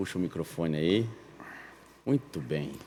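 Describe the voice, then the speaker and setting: A man talks at a fairly slow pace with lively intonation on a very clean recording with a silent background. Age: 50s. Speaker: podcast host. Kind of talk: casual chat.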